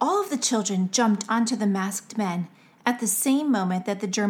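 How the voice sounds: Someone reads in a natural voice. The pitch moves up and down in an ordinary way.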